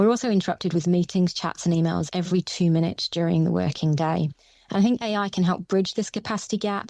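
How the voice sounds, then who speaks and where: Speaking at a very fast pace, a woman with a fairly low pitch keeps her intonation fairly even in a dry, close recording with no echo. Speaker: business leader. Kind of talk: interview, prepared answers. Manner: formal.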